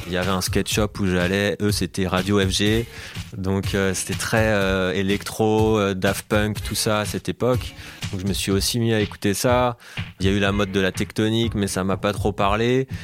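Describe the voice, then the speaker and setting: Over music in the background, a man with a fairly low pitch talks at a moderate pace in fairly even intonation. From France, Alsace (Colmar). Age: 30s. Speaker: DJ and producer. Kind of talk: interview conversation.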